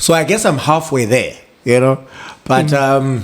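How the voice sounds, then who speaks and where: Noticeable noise sits behind this recording. The man talks at a fairly slow pace. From South Africa, Eastern Cape. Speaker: TV and radio presenter. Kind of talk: interview answer.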